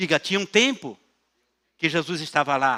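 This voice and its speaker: This man speaks at a moderate pace in a high voice with a bright, sharp tone. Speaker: pastor. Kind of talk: sermon.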